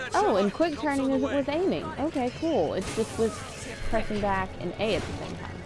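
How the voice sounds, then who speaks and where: A woman with a high pitch speaks at a moderate pace, her pitch swinging very widely. Noticeable background noise can be heard. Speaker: gameplay streamer. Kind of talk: gameplay commentary. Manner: casual, chatty.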